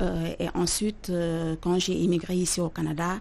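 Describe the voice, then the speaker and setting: A woman speaks at a fairly slow pace in a flat monotone. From Senegal, Dakar. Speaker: chef. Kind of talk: interview.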